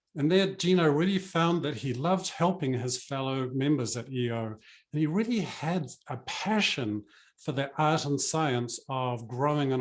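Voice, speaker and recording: With a New Zealand accent, a man talks at a moderate pace in a fairly high pitch, with ordinary pitch variation. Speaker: business coach. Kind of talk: webinar presentation.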